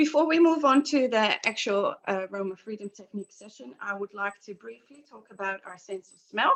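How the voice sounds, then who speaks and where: A woman with a Dutch accent at a medium pitch, very wide pitch swings, big shifts in loudness and hardly any pauses. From Netherlands. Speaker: aromatherapy practitioner. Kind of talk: guided session presentation. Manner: halting, many fillers.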